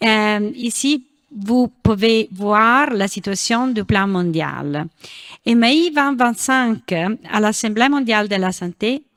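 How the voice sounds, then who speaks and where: A woman speaks at a very slow pace with a non-native accent. Her voice is fairly high, with ordinary pitch variation. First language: not French (speaking French). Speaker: international association director. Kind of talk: reading a prepared talk.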